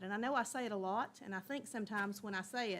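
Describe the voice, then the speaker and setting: A woman with a Tennessee accent at a very fast pace, medium pitch and ordinary pitch variation. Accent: Southern US (Tennessee). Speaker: school district director. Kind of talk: board meeting report. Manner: loud.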